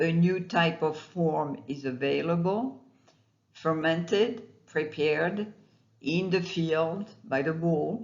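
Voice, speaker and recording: Spoken very slowly, the words come in a non-native accent. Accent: non-native accent, self-noted. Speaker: astrologer. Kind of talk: monologue video talk. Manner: halting, with fillers.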